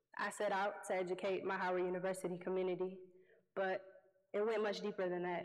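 There is audible room echo around a woman's medium-pitched voice. She speaks fairly quickly with monotone, flat intonation. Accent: American. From Detroit, US Midwest. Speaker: youth environmental activist and award winner. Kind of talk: award acceptance speech. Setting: stage with audience.

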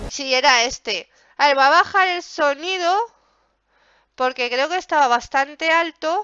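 Against a quiet background with a dry, echo-free sound, a woman speaks fairly slowly in a high, animated voice. She leaves long, frequent pauses. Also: ordinary pitch variation. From Spain, Zaragoza (Aragon). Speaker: gaming youtuber. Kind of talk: gameplay commentary. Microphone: headset.

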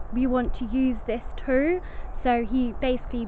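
Recorded with a dry sound, no echo and light background noise, a woman speaks at a fairly slow pace. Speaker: ghost vlogger. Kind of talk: casual vlog chat. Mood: cheerful, laughing. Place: forest. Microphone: phone near.

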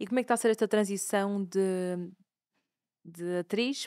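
Over a quiet background, a woman speaks at a moderate pace. Her intonation stays fairly even. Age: 20s. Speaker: podcast host and fashion brand founder; podcast host. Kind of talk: casual interview chat; show introduction. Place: studio. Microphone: studio mic.

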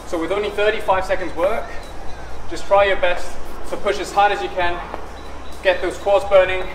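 A man's high-pitched, monotone and flat delivery at a moderate pace, over noticeable background noise. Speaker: fitness instructor. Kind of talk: workout tutorial. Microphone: camera far.

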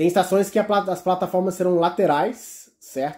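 Here is a man with a dark, mellow tone. The background is quiet. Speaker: YouTuber covering rail transit news. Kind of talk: casual vlog monologue. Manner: halting, many repetitions. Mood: relaxed, smiling. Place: home room. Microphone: phone near.

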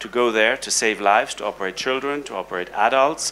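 A man with a plain, everyday voice talks at a medium pitch with ordinary pitch variation over light background noise. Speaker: heart surgeon and professor; professor. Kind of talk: panel discussion. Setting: stage with audience. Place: hall. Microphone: handheld.

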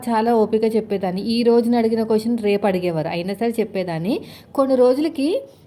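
In a dark, mellow tone, a woman speaks at a fairly high pitch with ordinary pitch variation. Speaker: housewife cooking vlogger. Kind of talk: casual vlog talk while cooking. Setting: home kitchen.

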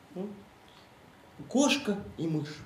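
A man speaks with audible room echo around his voice. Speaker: actor in a play. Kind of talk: reading a story aloud on stage. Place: stage. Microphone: camera far.

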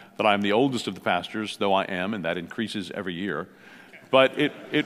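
Speaking at a very fast pace, a man uses ordinary pitch variation. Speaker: pastor speaking at a conference. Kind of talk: conference talk. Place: hall. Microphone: headset.

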